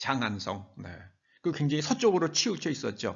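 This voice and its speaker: A man speaks with very wide pitch swings. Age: 70s. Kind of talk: sermon.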